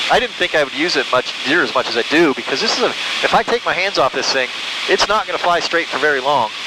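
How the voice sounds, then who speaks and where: Noticeable background noise sits behind a man with a fairly high pitch. He speaks at a very fast pace, his pitch swinging very widely. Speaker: private pilot. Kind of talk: casual chat. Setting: small plane cockpit in flight. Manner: fast talker.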